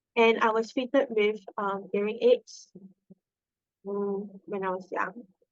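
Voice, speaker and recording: A woman's fairly high voice, very slow, with a Singaporean accent. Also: long, frequent pauses. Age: 20s. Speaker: nurse. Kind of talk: podcast interview. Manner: hesitant, many fillers.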